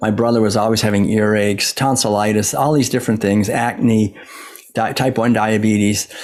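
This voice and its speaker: With an American accent, a man speaks in a fairly low pitch at a moderate pace, his intonation monotone and flat, his loudness very even, over noticeable background noise. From US Northeast, Massachusetts. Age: 60s. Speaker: author and former monk. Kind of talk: interview.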